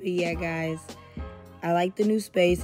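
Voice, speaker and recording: Over faint background music, a woman talks at a moderate pace. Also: dry sound with no echo. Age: 20s. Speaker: body contouring technician. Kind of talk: casual talk to camera. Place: empty room. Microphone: phone near.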